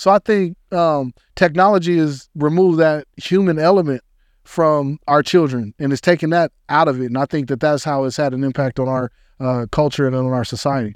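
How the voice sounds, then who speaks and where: Over a quiet background, a man with an American accent and a fairly high voice speaks at a moderate pace with ordinary pitch variation, the sound dry and close with no echo. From Denver, Colorado. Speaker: podcast host. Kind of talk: casual interview. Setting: studio. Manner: animated.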